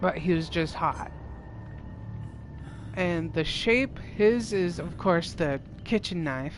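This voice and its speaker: Over noticeable background noise, a woman speaks at a very slow pace with long, frequent pauses. Her voice sits fairly low, with ordinary pitch variation. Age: 30s. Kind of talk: casual gameplay livestream commentary.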